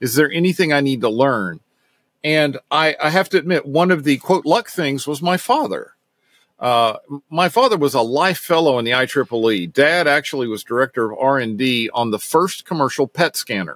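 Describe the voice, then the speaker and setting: A man with an American accent talks at a moderate pace in a plain, everyday voice, fairly high in pitch, with lively intonation. The recording is very clean with a silent background and a dry, close sound with no echo. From US South, Knoxville, Tennessee. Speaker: technical services director and bike racing mechanic. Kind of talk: interview.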